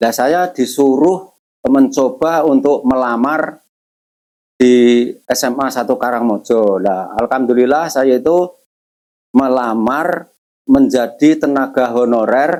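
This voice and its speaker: Here a man speaks at a medium pitch. His pace is very slow, with ordinary pitch variation. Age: 60s. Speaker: retired school administrative staff. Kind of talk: interview.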